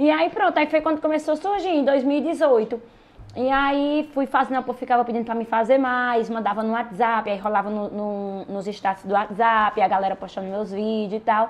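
A woman speaks at a moderate pace with lively intonation and a fairly high pitch, over noticeable background noise. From Pernambuco backlands, Brazil (Ouricuri). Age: 20s. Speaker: social media influencer. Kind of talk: casual chat.

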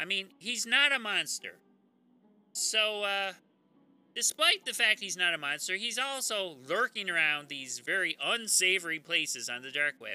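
Over music in the background, a man with a high pitch projects his raised voice at a moderate pace with very wide pitch swings. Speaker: true crime podcast host. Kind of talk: comedic storytelling monologue. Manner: rambling, casual.

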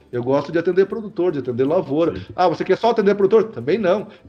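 Music plays in the background. A man speaks at a high pitch with ordinary pitch variation. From Santa Catarina west, Brazil. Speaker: agronomist, consultant and professor. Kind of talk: casual podcast interview.

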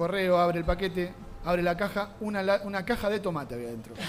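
A man speaks in a high voice. His pace is fairly quick. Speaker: podcast host. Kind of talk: casual chat. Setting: recorded in a bar.

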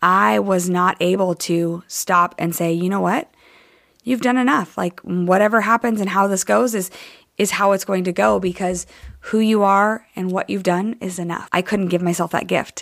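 Heard on a very clean recording with a silent background, a woman in an unremarkable speaking voice talks at a moderate pace and medium pitch with ordinary pitch variation. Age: 30s. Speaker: podcast host and coach. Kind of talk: solo podcast monologue. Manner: conversational, with frequent fillers.

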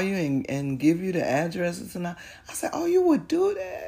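A woman's somewhat breathy voice, dark and mellow in tone, at a medium pitch with very wide pitch swings and a moderate pace. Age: 60s. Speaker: mother of the host, guest. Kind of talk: casual interview, personal storytelling.

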